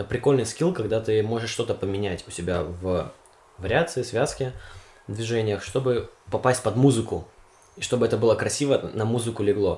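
A man speaks at a fairly quick pace and a medium pitch, with ordinary pitch variation. His voice is somewhat breathy, with long, frequent pauses. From Siberia, Omsk. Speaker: university student. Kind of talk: casual chat.

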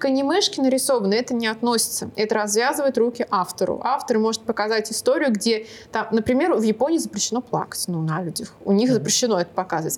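A very fast woman's voice, fairly high and lively in intonation, amid noticeable background noise. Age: 20s. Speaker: artist and art teacher. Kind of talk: casual interview.

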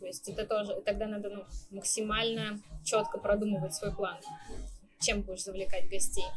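Moderate-paced speech with big swings in loudness, long, frequent pauses and fairly even intonation, over noticeable background noise. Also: woman, medium pitch for a woman. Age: 20s. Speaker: coffee shop manager. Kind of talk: interview.

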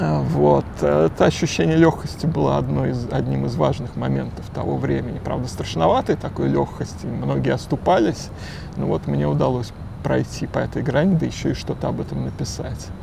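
Over noticeable background noise, a man with a very deep, low voice speaks at a moderate pace with lively intonation. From Moscow, Russia. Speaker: novelist. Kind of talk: casual interview. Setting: outdoors. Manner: halting.

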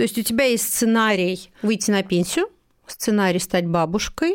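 Over a very clean recording with a silent background, a woman with an unremarkable speaking voice talks at a moderate pace with lively intonation. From Moscow, Russia. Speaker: magazine editor-in-chief. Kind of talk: interview conversation.

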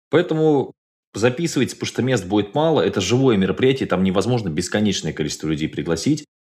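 A man talks at a very fast pace in an animated tone. His pitch swings very widely. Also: medium pitch for a man. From Kirov, Russia. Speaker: business trainer and tour organizer. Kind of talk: casual interview chat. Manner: animated, joking.

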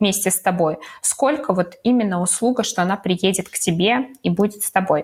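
Somewhat breathy, a woman with a medium pitch speaks at a fairly quick pace with ordinary pitch variation. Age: 20s. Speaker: podcast co-host, new mother. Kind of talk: casual chat. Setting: remote call between cities.

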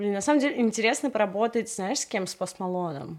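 In an unremarkable speaking voice, a woman talks at a medium pitch with lively intonation. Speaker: music artist manager. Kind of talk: interview. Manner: casual, chatty.

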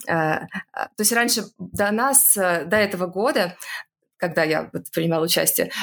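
A woman with a plain, everyday voice at medium pitch, with ordinary pitch variation. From Russia, Saint Petersburg. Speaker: scientist, geneticist. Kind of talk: interview.

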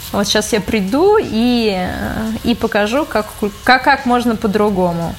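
Amid noticeable background noise, a woman speaks fairly slowly at a fairly high pitch. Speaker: corporate manager. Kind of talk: interview.

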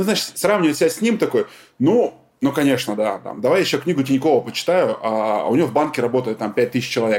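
At a very fast pace, a man talks at a fairly high pitch with very wide pitch swings. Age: 30s. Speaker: podcast host and entrepreneur. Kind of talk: casual interview chat.

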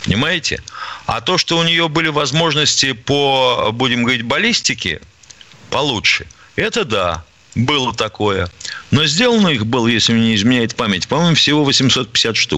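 A man talks at a moderate pace and medium pitch, with long, frequent pauses. His loudness stays very even. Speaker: radio co-host, retired army colonel. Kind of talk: call-in radio show. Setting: studio.

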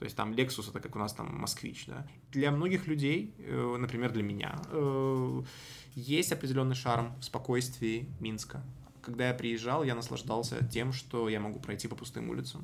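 With audible room echo, a man speaks at a medium pitch and a moderate pace, his pitch varying in an ordinary way. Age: 20s. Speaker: political journalist. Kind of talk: interview.

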